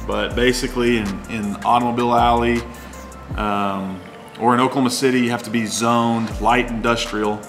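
A man's moderately paced speech over clear background music. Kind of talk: casual vlog chat. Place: bar.

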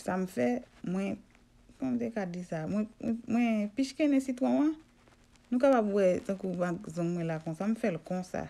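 A woman with a dark, mellow tone at medium pitch, very wide pitch swings and a moderate pace. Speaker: home remedy video blogger. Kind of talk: casual vlog monologue. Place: home room.

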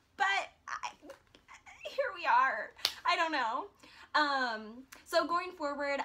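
Here a woman uses a raised, projected voice. Her pitch varies in an ordinary way. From US Midwest, Iowa. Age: 20s. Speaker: vlogger. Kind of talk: casual vlog monologue. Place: home room. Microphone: phone near.

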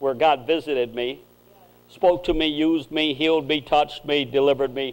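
The voice belongs to a man. He talks at a moderate pace. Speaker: preacher. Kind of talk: sermon. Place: church.

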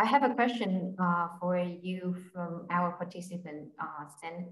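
Somewhat breathy, a woman speaks with audible room echo and light background noise. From Vietnam. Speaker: webinar moderator. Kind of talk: panel interview. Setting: video call. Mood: warm, cheerful. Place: home room. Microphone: video call.

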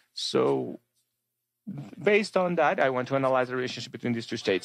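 Lively intonation marks this man's fairly high voice. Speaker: panel moderator. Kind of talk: formal conference moderation. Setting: lecture hall with live audience. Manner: formal.

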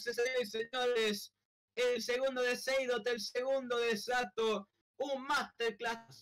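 A man speaks with an extremely high pitch. His pace is very slow and his loudness very even. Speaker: streamer and live commentator. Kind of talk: live sports commentary over a Roblox soccer match. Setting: online game stream. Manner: breathless, drawn-out goal calls with bursts of disbelief.

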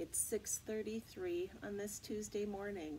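There is light background noise in this recording. A woman talks at a fairly slow pace. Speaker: teacher. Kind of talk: read-aloud storytime for children. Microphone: webcam.

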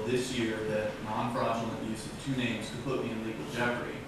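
Over noticeable background noise and strong room echo, a man speaks at a very fast pace. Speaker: defendant. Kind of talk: courtroom statement. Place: hall. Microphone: camera far.

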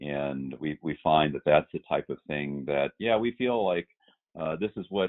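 A man talks with ordinary pitch variation. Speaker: podcast guest, allergist. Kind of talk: clinical, conversational.

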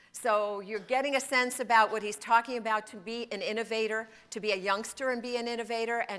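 The woman's voice carries a bright, sharp tone. She talks at a fairly quick speed. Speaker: conference speaker. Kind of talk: lecture. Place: hall. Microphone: podium.

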